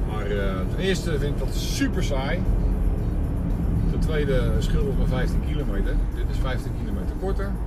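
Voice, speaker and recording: Music can be heard in the background. A man speaks over it at a moderate pace. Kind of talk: casual driving commentary. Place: car. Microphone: phone near.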